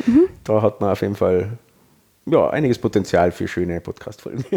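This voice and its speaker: A man talks at a middling speed in a dark, mellow tone. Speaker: podcast host. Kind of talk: casual chat.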